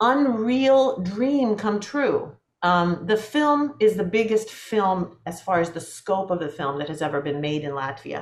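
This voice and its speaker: Fairly slow female speech with very wide pitch swings. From US West Coast (Portland, Oregon), Latvian-speaking home. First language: Latvian. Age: 50s. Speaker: film composer. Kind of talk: interview conversation. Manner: halting, many repetitions and fillers.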